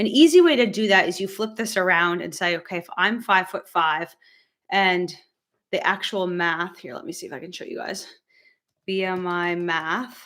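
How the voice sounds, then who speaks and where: A woman with an American accent speaks at a medium pitch and moderate pace, with ordinary pitch variation and big swings in loudness, on a very clean recording with a silent background. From United States. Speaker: medical doctor. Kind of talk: live stream Q&A tutorial. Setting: live stream. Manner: casual, hesitant with fillers.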